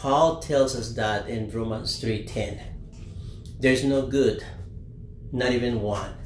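Speaking very slowly with a non-native accent, a man takes long, frequent pauses. His medium-pitched voice keeps a fairly even intonation. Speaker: father of host. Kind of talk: casual chat. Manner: halting.

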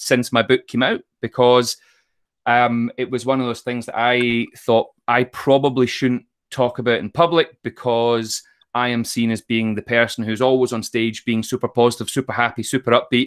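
In a dry, close recording with no echo, a man with a west of Scotland accent speaks at a moderate pace in a monotone, flat way. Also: medium pitch for a man, very clean recording, silent background. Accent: west of Scotland Scottish. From Scotland, Troon in Ayrshire. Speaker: motivational speaker and author. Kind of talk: casual interview.

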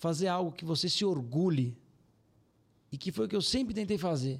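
A man at a high pitch, with lively intonation and a moderate pace. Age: 30s. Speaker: financial firm CEO. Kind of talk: casual interview.

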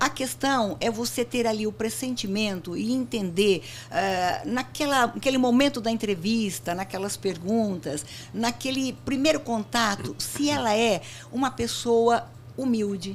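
The speech is fairly slow and somewhat breathy. Its intonation is lively. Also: woman, fairly high pitch for a woman. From Brazil, interior of São Paulo state (Barretos). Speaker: company founder and CEO. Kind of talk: interview.

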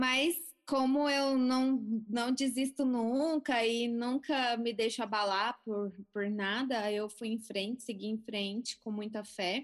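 Fairly high-pitched woman at a very slow pace. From Brazil, Goiânia (Goiás). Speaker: physician, cancer survivor. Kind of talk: interview testimony.

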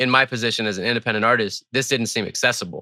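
An American-accented man has a bright, sharp tone. The recording is very clean with a silent background and a dry, close sound with no echo. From Twin Cities, Minnesota. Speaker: rapper. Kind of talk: casual interview.

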